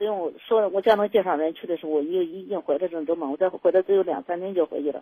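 The speech comes at a very fast pace. Its pitch variation is ordinary. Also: woman. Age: 60s. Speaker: radio call-in caller. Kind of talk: personal story on call-in show. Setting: phone call. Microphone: too quiet at first.

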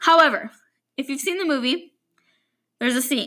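A woman speaks in a raised, projected voice with a bright, sharp tone. Her pitch is high and her intonation lively. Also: very clean recording, silent background. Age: 20s. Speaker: podcast host. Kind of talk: solo personal monologue.

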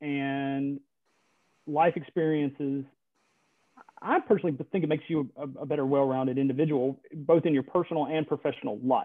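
A man with a fairly high pitch and an American accent, at a moderate pace with ordinary pitch variation. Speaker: government attorney. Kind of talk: interview. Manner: halting, many fillers.

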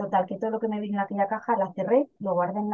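A woman in a northern Castilian accent at a very fast pace. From Spain, León province (northwest). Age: 40s. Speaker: direct-sales cosmetics seller. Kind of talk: casual interview testimony.

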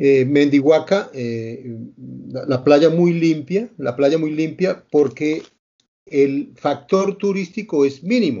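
A man's fairly high-pitched voice with lively intonation at a very slow pace. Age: 60s. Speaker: interview show host. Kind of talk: interview.

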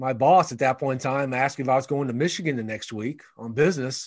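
Against a quiet background, a man with an American accent speaks in a medium pitch with ordinary pitch variation. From Ohio, US Midwest. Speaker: author and speaker. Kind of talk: interview.

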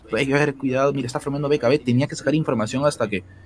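A man's fairly high voice at a very fast pace, over noticeable background noise. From Peru, Lima (Surquillo). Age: 20s. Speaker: esports caster. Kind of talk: interview.

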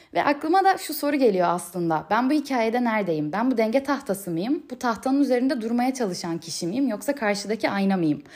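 A woman talks at a fairly quick pace with hardly any pauses. Her pitch swings very widely. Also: fairly high pitch for a woman. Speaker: podcaster. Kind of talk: solo monologue podcast. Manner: uneven pitch.

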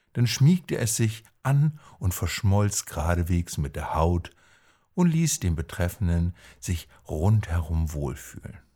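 A man's very deep, low voice, very slow and somewhat breathy, with lively intonation, a gentle tone and a dark, mellow tone, in a very clean recording with a silent background. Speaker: coach and podcaster. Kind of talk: bedtime-style fairy tale telling, told calmly and warmly to listeners. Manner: slow, gentle, storytelling cadence.

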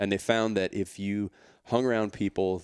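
A man's normal speaking voice with a Canadian accent, fairly low in pitch, at a fairly quick pace, in a very clean recording with a silent background and a dry, close sound with no echo. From Canada. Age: 40s. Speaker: fitness entrepreneur and author. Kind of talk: casual interview chat.

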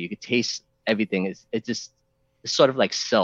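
His voice sits at a medium pitch and varies in an ordinary way. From New York. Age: 40s. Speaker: hobbyist reseller. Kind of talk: casual interview on livestream. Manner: halting.

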